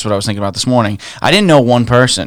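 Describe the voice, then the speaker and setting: A man speaks at medium pitch with an American accent and ordinary pitch variation. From New York City (Staten Island). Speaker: real estate investor. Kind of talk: casual chat.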